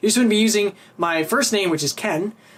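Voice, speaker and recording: With a Canadian accent, a man speaks at a high pitch with ordinary pitch variation. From Canada. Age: 20s. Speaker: YouTuber. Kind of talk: casual vlog talk.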